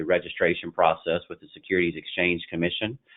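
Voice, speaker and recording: Talking at a fairly quick pace, a man with a Southern US accent has a very deep, low voice. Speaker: investment banking partner. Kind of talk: business webinar presentation. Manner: halting, frequent fillers.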